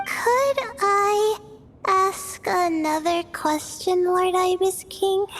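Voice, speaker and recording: Over music in the background, a woman does a put-on character voice that is squeaky and extremely high-pitched, speaking at a very slow pace with ordinary pitch variation. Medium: video game. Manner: hesitant, uses "uh".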